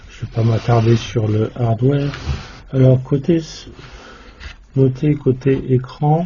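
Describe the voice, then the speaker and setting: A man speaks at a very slow pace with fairly even intonation. Noticeable background noise runs under him. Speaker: electronics hobbyist YouTuber. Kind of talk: tutorial. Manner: monotone; hesitant, many filler sounds.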